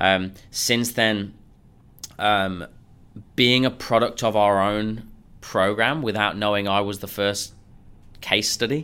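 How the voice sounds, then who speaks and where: A man with a fairly low pitch and a bright, sharp tone speaks at a very slow pace with an English accent. His intonation stays fairly even, broken by long, frequent pauses. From England. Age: 30s. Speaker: sales coach. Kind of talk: interview.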